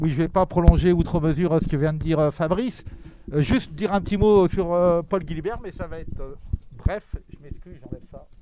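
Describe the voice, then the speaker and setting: Over noticeable background noise, a man with a strong Toulouse accent talks at a fairly quick pace in a high voice with ordinary pitch variation and big swings in loudness. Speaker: event moderator. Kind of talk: event introduction. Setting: bookshop talk with audience.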